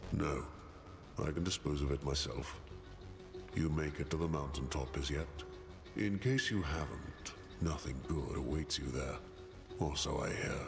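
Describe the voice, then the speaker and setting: Putting on a character voice, a man speaks at a moderate pace against loud background noise. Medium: machinima. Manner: terse, gruff.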